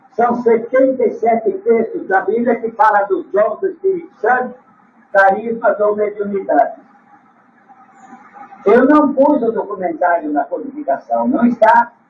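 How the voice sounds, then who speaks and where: Against noticeable background noise, a man with an extremely high voice speaks fairly slowly, using very wide pitch swings and long, frequent pauses. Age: 70s. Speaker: spiritual teacher. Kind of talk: religious talk.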